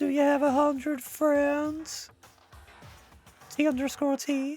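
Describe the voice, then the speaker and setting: A man puts on a character voice, extremely high in pitch, with monotone, flat intonation at a fairly slow pace. Faint music plays in the background. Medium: game stream. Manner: theatrical, upbeat explaining.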